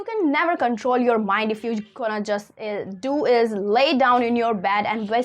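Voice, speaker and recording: A woman speaks at a fairly slow pace with a non-native accent. Her pitch is high and her tone is animated. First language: not English. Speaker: self-help content creator. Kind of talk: motivational talk.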